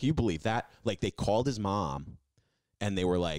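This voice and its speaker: Speaking at a moderate pace, a man shows lively intonation and vocal fry. The sound is dry with no echo, and the background is quiet. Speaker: podcast co-host. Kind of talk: casual storytelling chat. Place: studio. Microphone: studio mic.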